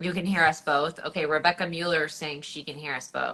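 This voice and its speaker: Her voice has a fairly low pitch and a bright, sharp tone. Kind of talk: live stream chat. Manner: animated.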